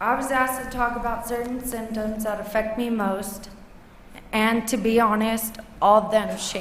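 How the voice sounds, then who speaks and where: A woman speaks at a moderate pace with a fairly high pitch. There is audible room echo and noticeable background noise. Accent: American. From US West Coast, Los Angeles. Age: 20s. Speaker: patient speaker. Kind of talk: prepared testimony.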